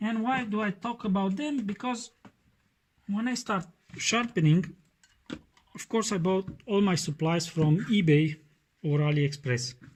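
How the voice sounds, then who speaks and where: Speaking with a Romanian accent, a man uses a high pitch and lively intonation. He goes at a fairly slow pace with long, frequent pauses. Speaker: knife sharpening YouTuber. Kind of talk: tutorial. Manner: halting, many fillers.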